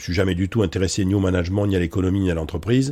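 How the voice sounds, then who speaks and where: A man talks at a fairly quick pace with a very deep, low pitch. The recording is very clean, with a silent background. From France, Bordeaux. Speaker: professor and public speaker. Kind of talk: interview conversation. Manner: hesitant, many fillers.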